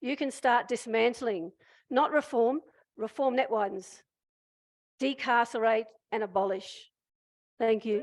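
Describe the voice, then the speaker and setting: Against a quiet background, a woman with an Australian accent speaks at a fairly slow pace and a fairly high pitch, with ordinary pitch variation and long, frequent pauses. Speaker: prison abolition activist. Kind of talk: public speech. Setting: stage with audience. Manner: impassioned.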